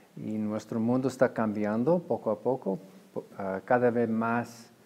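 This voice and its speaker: Taking a fairly slow pace, a man talks at a medium pitch. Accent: English. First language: English (speaking Spanish). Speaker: head of a freethought organization. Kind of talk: interview. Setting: conference. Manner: halting.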